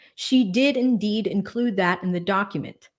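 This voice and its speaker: On a very clean recording with a silent background, a woman with an American accent talks at a moderate pace with ordinary pitch variation. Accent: Boston accent, can switch on and off. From Boston, Massachusetts. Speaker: lawyer and legal commentary streamer. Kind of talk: casual livestream chat. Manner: casual, filler-heavy.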